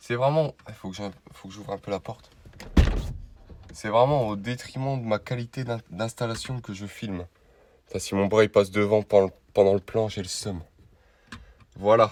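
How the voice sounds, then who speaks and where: At a moderate pace, a man with a fairly low pitch and fairly even intonation makes long, frequent pauses, and his loudness swings widely. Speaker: car vlogger. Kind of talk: vlog tutorial. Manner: casual.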